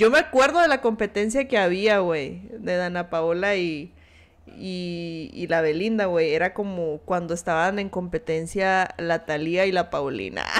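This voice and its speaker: A woman talks at a fairly slow pace with a Mexican accent. Her tone is animated, with ordinary pitch variation. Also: fairly low pitch for a woman. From Mexico. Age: 30s. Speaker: streamer. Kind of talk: casual chat. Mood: chatty, amused gossip. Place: home room.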